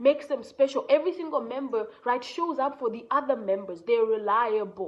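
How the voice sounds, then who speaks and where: A woman with a strong Kenyan accent speaks at a fairly quick pace. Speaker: entrepreneur and content creator. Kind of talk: motivational talk. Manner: casual, conversational.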